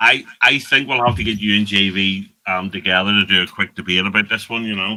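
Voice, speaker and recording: Scottish is the accent here. Delivery runs fairly quick. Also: man, fairly low pitch for a man, fairly even intonation. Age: 50s. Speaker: podcast host. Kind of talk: casual chat. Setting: live stream.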